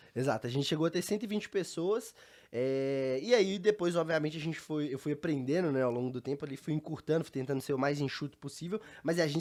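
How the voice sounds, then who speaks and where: Recorded very cleanly against a silent background, a man speaks very fast with lively intonation. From Brazil, Belo Horizonte (Minas Gerais). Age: 20s. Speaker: entrepreneur, startup founder. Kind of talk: interview conversation.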